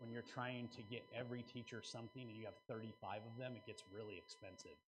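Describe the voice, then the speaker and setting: With an enthusiastic tone, a man speaks at a very fast pace in a medium pitch, sounding somewhat breathy. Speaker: conference seminar presenter, local marketing speaker. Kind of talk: conference seminar presentation to an audience. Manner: casual, conversational, enthusiastic.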